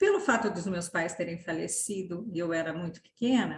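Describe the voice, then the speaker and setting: A woman's somewhat breathy voice with lively intonation. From Brazil, São Paulo city. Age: 60s. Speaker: inclusion consultant and mother. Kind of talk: podcast interview.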